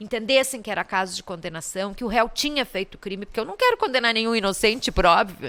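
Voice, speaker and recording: This is an ordinary speaking voice whose pitch moves in an ordinary way. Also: woman. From southern Brazil, Caxias do Sul. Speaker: public prosecutor. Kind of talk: interview conversation. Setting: studio podcast.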